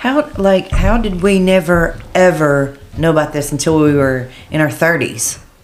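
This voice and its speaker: A woman with an ordinary speaking voice talks at a fairly slow pace, pitched fairly low. She barely pauses, her loudness stays very even, and her pitch varies in an ordinary way. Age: 50s. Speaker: podcast co-host. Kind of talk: casual chat.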